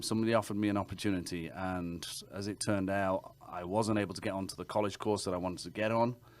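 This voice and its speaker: A fairly low-pitched man's voice with an English accent, fairly even intonation and a fairly quick pace. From England. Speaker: realtor. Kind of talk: interview answer.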